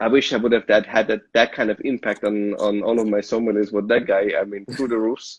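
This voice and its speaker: A man with an Austrian accent, medium pitch, monotone, flat intonation, a fairly quick pace and hardly any pauses. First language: German. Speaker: sommelier. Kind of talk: casual chat. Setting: live video stream.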